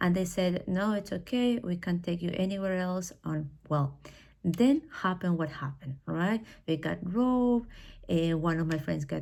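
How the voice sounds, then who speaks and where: A woman speaks with a Spanish accent at a fairly low pitch and with ordinary pitch variation. Her voice is somewhat breathy, with a dark, mellow tone. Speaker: English teacher. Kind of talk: personal talk. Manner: hesitant, with fillers.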